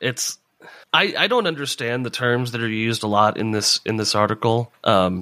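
Speaking at a moderate pace, a man uses a medium pitch with ordinary pitch variation and a bright, sharp tone.

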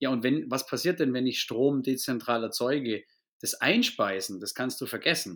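At a moderate pace and with ordinary pitch variation, a man with a southern German accent is heard in a very clean recording with a silent background. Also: medium pitch for a man. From Bavaria, near Augsburg. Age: 30s. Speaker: business owner. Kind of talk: podcast interview.

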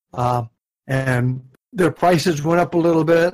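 A somewhat breathy man's voice with ordinary pitch variation at a moderate pace. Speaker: co-host, dive instructor mentor. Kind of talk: casual chat podcast.

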